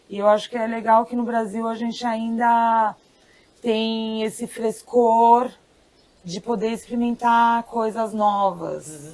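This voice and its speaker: A woman with a Brazilian accent, fairly high in pitch, very slow, with monotone, flat intonation. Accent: urban Brazilian. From São Paulo, Brazil. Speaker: farmer. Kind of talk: interview answer.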